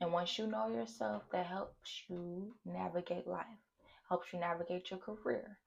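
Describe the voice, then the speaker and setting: A somewhat breathy woman's voice at a medium pitch, with an American accent and a moderate pace. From St. Louis, Missouri, US. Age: 20s. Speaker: content creator, student. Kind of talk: casual vlog monologue. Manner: animated.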